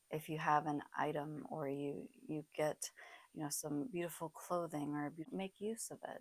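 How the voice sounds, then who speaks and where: Her very deep, low voice moves at a moderate pace with ordinary pitch variation. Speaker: tarot beginner. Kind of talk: casual talk to camera. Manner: hesitant, many fillers.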